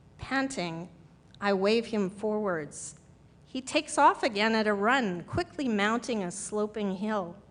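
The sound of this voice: An unforced reading voice with pitch that varies in an ordinary way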